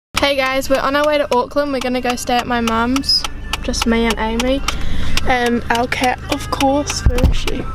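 A woman at a moderate pace, dry sound with no echo, over loud background noise. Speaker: vlogger. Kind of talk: casual vlog chat. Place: car. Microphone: phone near.

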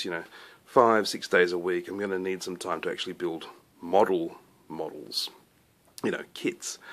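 This is a man with an Australian accent. He talks at a moderate pace. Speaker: scale model maker and YouTuber. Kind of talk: casual show-and-tell vlog. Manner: relaxed, with frequent fillers. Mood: relaxed, enthusiastic. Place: workshop. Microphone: phone near.

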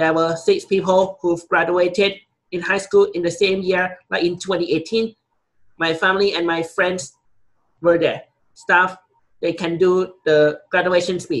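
Over a quiet background, a man with a Thai accent speaks at a high pitch and a fairly slow pace in a monotone, flat intonation. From Thailand. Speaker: college student. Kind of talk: class presentation speech. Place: office.

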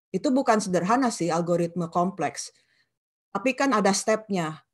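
A woman with a West Javanese accent speaks at a medium pitch and a moderate pace. Her intonation is lively, over a quiet background. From West Java, Indonesia (Sundanese). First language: Sundanese (speaking Indonesian). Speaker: professor of digital media. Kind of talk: lecture. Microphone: video call.

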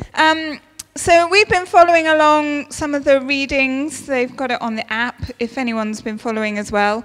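A woman's voice sits high in pitch and varies in an ordinary way. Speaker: speaker. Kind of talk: sermon. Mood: warm, lightly humorous. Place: church. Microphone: handheld.

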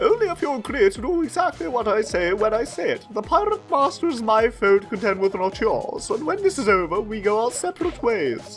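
Over clear background music, a man does a put-on character voice that is extremely high, hoarse and strained, at a fairly quick pace. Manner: bossy, haughty, curt.

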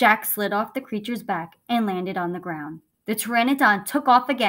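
A natural reading voice with ordinary pitch variation is heard over a quiet background.

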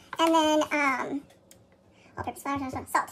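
Through loud background noise, a woman can be heard talking. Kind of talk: tutorial. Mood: relaxed, chatty. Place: kitchen. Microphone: phone near.

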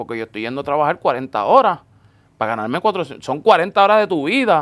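Fairly high male voice with very wide pitch swings at a fairly quick pace, on a very clean recording with a silent background. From Puerto Rico (Florida, north coast). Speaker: sneaker store owner. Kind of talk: casual interview chat. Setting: in person with host.

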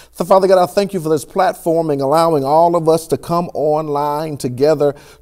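Over a quiet background, a man with a dark, mellow tone speaks at a fairly quick pace with ordinary pitch variation. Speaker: church pastor. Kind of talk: sermon. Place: studio.

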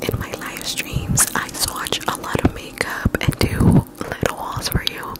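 A soft-spoken woman whispers at a fairly slow pace. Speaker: ASMR creator. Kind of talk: casual vlog chat, soft ASMR outro. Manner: soft ASMR whisper close to mic. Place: home room. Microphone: handheld.

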